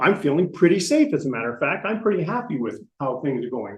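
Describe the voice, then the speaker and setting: A man talks at a very fast pace with an American accent. His pitch swings very widely. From US Midwest (Iowa and Illinois). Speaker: presenter on retiring abroad. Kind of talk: lecture.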